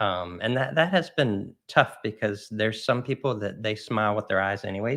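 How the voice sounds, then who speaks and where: A man talks at a moderate pace with ordinary pitch variation. There are hardly any pauses. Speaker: real estate agent. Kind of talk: casual chat. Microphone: professional microphone.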